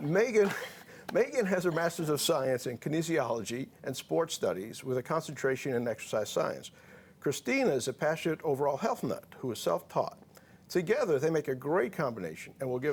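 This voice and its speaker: Very wide pitch swings from a man with a fairly high pitch and a New York accent. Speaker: physician talk show host. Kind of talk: talk show interview.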